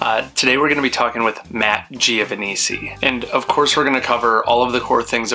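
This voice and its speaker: Noticeable background noise sits behind a man who speaks very fast. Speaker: podcast host. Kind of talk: scripted intro. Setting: home office. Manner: restrained, not yelling.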